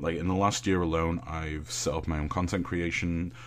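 A man's very deep, low voice with vocal fry, at a moderate pace and with ordinary pitch variation. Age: 20s. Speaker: streamer and content creator. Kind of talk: casual chat.

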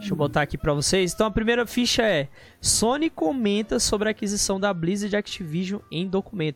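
Music plays in the background while a man talks. His pitch is high and his pace fairly quick. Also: lively intonation. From Brazil, Federal District (Brasília area). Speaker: podcast host, gaming and geek news. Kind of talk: casual chat.

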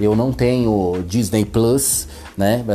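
A man's voice against noticeable background noise. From São Paulo metro area, Brazil. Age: 30s. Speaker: podcaster. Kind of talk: solo monologue podcast. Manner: casual.

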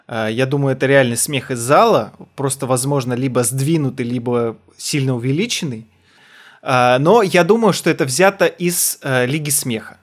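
In a very clean recording with a silent background, a man speaks at a fairly slow pace in a plain, everyday voice, medium in pitch with ordinary pitch variation. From Kazakhstan. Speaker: podcast co-host, comedian. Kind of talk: casual chat.

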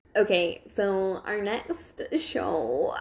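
A female-sounding, squeaky put-on character voice sits at medium pitch for a woman.

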